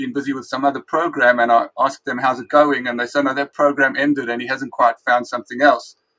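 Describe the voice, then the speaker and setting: A man's medium-pitched voice with a South African accent, bright and sharp in tone, fairly even in intonation, dry and close with no echo. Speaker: rabbi and Talmud teacher. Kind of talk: interview.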